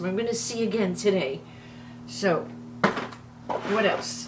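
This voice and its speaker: A woman with a New York accent, very slow, over music in the background. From New York City. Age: 70s. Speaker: beauty vlogger. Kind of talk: makeup tutorial. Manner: animated.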